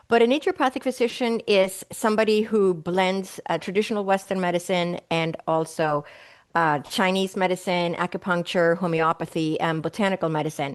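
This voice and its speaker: A woman with a slight Swedish accent speaks at a fairly quick pace and a medium pitch, with ordinary pitch variation against a quiet background. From Sweden. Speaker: naturopathic doctor. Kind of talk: interview answers.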